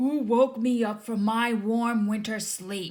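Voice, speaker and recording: A put-on character voice, growling and fairly high-pitched, comes at a fairly slow pace. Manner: snarling, grumpy.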